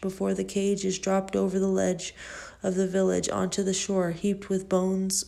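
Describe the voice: A text is read out plainly. Nothing more than plain reading aloud is going on.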